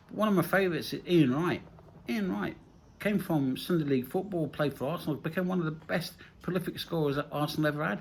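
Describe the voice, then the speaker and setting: A very fast man with an English Midlands accent, fairly high in pitch, with ordinary pitch variation. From English Midlands, Nottingham. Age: 60s. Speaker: vlogger. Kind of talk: casual monologue. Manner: repetitive, halting restarts.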